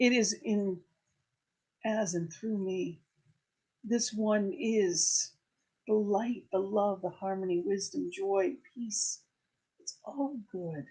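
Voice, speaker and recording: A woman speaks very slowly with long, frequent pauses and lively intonation. Her medium-pitched voice is somewhat breathy, with a dark, mellow tone. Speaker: spiritual director. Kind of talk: prayer treatment. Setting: church service. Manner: enthusiastic.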